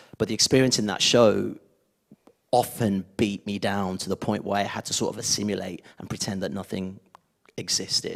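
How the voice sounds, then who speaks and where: Fairly even intonation marks this speech, which moves at a moderate speed. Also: man, fairly low pitch for a man. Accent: Birmingham. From Birmingham, England. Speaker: former children's TV presenter. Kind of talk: panel discussion. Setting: stage with audience.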